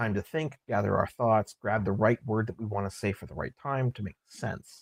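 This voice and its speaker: Here a man speaks at a medium pitch. The sound is dry and close, without echo. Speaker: audio editor discussing editing. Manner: slow speaker, frequent pauses and fillers.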